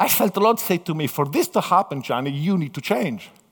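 In an Italian accent, a man talks with an animated tone, lively intonation and a fairly high pitch. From Italy. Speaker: missionary pastor. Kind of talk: sermon. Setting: church with audience. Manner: halting.

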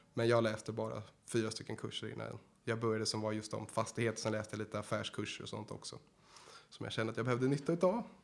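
A man talks at a very fast pace with vocal fry. His intonation stays fairly even. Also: medium pitch for a man. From Sweden. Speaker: real estate agent trainee. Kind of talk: casual interview.

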